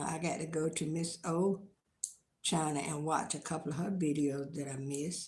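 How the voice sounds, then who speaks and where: A woman's fairly low, somewhat breathy voice with an American accent, fairly slow, with fairly even intonation. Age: old. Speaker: lifestyle vlogger. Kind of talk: casual live-stream chat.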